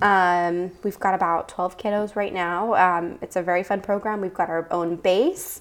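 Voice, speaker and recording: A woman with an American accent speaks at a medium pitch and moderate pace, in a monotone, flat intonation with hardly any pauses. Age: 20s. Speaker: youth program leader. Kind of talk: casual interview.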